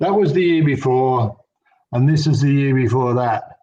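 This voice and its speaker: This man talks with an Australian accent and ordinary pitch variation. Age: 60s. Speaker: fishing lure expo organiser. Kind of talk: casual interview.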